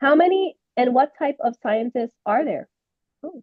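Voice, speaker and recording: With a Spanish accent and lively intonation, a woman speaks at a fairly slow pace. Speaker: webinar host. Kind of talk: casual interview, bilingual moderation.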